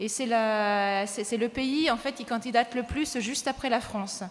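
Ordinary pitch variation marks the voice. It belongs to a woman. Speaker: panel moderator. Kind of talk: conference introduction. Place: hall. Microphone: podium.

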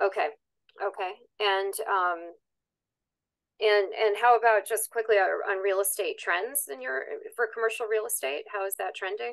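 Over a quiet background, a woman talks at a moderate pace with ordinary pitch variation and long, frequent pauses. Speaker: conference moderator. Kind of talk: interview. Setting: video call. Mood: friendly, curious. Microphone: video call.

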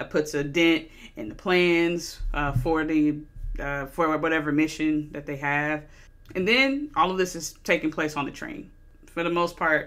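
A woman with a very deep, low voice talks at a fairly slow pace with ordinary pitch variation. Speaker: movie reviewer. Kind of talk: casual review commentary. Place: home room. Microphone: studio mic.

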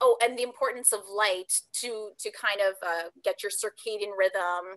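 In a quiet background, a woman with a bright, sharp tone and a fairly high pitch talks at a fairly slow pace with lively intonation. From Canada, Ontario. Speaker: pageant titleholder; guest. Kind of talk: interview. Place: home room. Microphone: video call.

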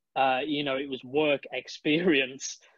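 A man with a British accent speaks at a fairly slow pace in a fairly high pitch with fairly even intonation. The sound is dry, with no echo and a quiet background. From UK. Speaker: esports and TV presenter. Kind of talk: casual interview chat. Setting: video call. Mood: animated, amused storytelling. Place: home room. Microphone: video call.

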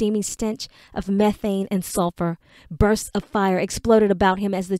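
The intonation stays fairly even. It's an unforced reading voice.

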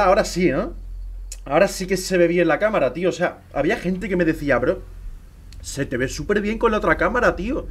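The speaking pace is fairly quick. The man's voice sits high in pitch. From Spain. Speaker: gaming streamer. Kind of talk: live gameplay stream chat. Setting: live stream with camera. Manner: animated. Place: home room.

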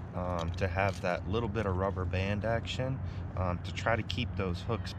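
A man's very deep, low voice at a moderate pace, fairly even intonation, dry sound with no echo, and noticeable background noise. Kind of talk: tutorial. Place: boat. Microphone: phone near.

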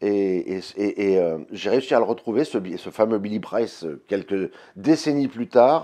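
A man at a fairly slow pace, dark and mellow in tone, with lively intonation and a quiet background. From France. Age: 50s. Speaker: blues guitarist and singer. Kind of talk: interview answers. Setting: label office. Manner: hesitant, many fillers. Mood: warm, reminiscing, proud. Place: office.

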